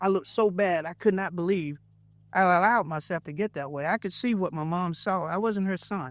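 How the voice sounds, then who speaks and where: A man's high voice in a Southern US accent, fairly quick, with ordinary pitch variation and a quiet background. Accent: Southern US (Georgia). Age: 60s. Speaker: pastor. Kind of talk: testimony.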